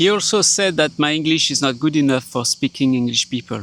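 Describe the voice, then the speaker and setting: A man talks at a moderate pace with a fairly high pitch. His pitch variation is ordinary. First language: French. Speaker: video blogger. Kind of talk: personal vlog monologue. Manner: halting.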